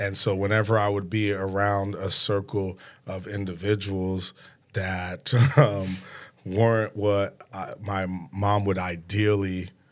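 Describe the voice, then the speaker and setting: On a very clean recording with a silent background, a man speaks very slowly in a monotone, flat intonation. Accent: New York. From New York City, Brooklyn. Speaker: podcast host. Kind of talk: casual interview chat. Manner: hesitant with fillers.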